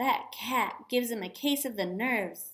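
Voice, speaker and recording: In a put-on character voice, a woman speaks at a moderate pace with a shrill, high pitch. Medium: read story. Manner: fussy, doting.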